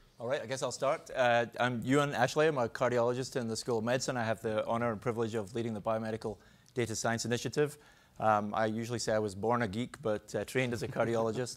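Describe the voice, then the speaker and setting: With a Scottish accent, a man speaks at a very fast pace and a fairly even intonation. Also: medium pitch for a man. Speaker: cardiologist and professor. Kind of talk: panel discussion.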